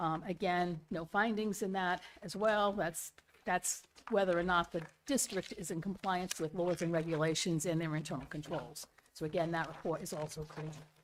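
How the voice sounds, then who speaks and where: A woman speaks in an unremarkable speaking voice, fairly low in pitch. Her pace is moderate, with ordinary pitch variation. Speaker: auditor. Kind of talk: report presentation. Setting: school committee meeting.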